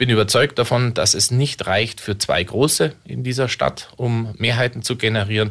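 In a plain, everyday voice, a man talks at a moderate pace with hardly any pauses, at a medium pitch with fairly even intonation, in a very clean recording with a silent background. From Munich, Bavaria. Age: 40s. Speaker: local politician. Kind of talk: radio interview.

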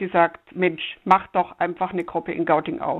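This is a woman with an ordinary speaking voice at medium pitch. She goes at a moderate pace. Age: 60s. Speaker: climate activist grandmother. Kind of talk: interview.

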